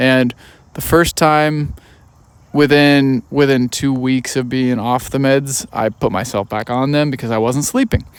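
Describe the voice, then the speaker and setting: A man uses a plain, everyday voice with an American accent. He talks at a fairly slow pace with fairly even intonation. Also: medium pitch for a man. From United States. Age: 30s. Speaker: podcast host. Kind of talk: casual podcast conversation.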